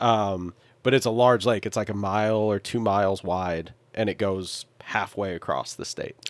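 In an ordinary speaking voice, a man speaks at a moderate pace with a fairly low pitch and fairly even intonation on a very clean recording with a silent background. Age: 30s. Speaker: sailor living aboard a boat. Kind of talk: casual chat.

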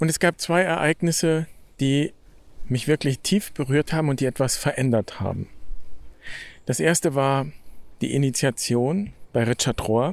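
In a very clean recording with a silent background and a dry, close sound with no echo, a man of fairly high pitch speaks at a fairly slow pace with ordinary pitch variation and long, frequent pauses. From Germany. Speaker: podcast host, Franciscan friar. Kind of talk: reflective monologue. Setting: outdoors, walking in nature.

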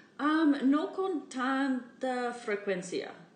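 With an English accent, a woman speaks at a very slow pace amid noticeable background noise and audible room echo. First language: English (speaking Spanish). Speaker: podcast host, Spanish learner. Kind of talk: casual chat. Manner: halting, many fillers.

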